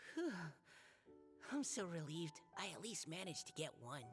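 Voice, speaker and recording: A put-on character voice at a middle pitch is heard over clear background music. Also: moderate pace. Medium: video game. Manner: soft, hesitant.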